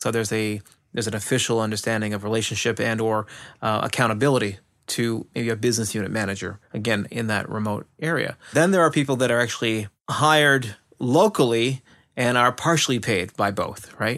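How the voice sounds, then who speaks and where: The recording is very clean with a silent background. A man with an unremarkable speaking voice talks at a fairly quick pace, his medium pitch moving with ordinary variation. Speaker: IT service management expert. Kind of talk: casual chat.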